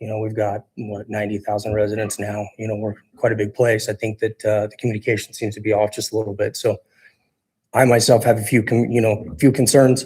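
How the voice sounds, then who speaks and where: A man with an American accent, fairly low pitch and monotone, flat intonation, somewhat breathy, at a fairly quick pace with big swings in loudness. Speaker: city council applicant. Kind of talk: interview statement. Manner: halting.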